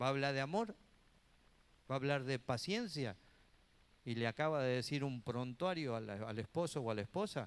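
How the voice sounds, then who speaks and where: At a moderate pace, a man with a medium pitch uses lively intonation, leaving long, frequent pauses. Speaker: pastor and Bible teacher, preacher. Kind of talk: church teaching class, sermon-like lecture. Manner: conversational, earnest, preachy.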